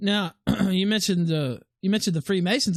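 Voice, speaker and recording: In a Southern US accent, a man talks very fast in a high pitch with ordinary pitch variation. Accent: Southern US, noticeable. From US South, Memphis area (Tennessee/Arkansas). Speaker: online talk show host. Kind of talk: interview. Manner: halting.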